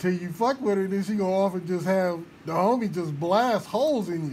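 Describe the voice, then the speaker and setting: There is audible room echo as a man with an American accent talks at a moderate pace. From Georgia (US South). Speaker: online radio show host. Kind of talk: casual live-stream chat. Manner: animated.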